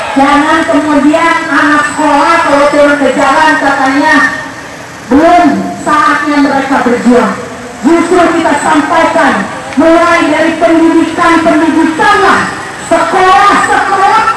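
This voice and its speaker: A woman speaks at a fairly slow pace. Noticeable background noise and strong room echo surround her voice. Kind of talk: protest speech. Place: street.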